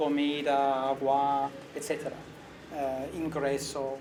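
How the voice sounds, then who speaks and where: A man speaks with a non-native accent. There is audible echo in the room. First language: not Spanish (speaking Spanish). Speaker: visiting researcher and lecturer. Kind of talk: academic interview. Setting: university. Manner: halting, with self-corrections.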